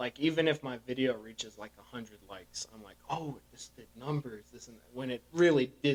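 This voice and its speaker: A man with an American accent talks at a moderate pace, at medium pitch with ordinary pitch variation. He has a plain, everyday voice. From US (adopted from Russia as infant). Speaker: podcast guest, fitness content creator. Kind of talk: casual chat.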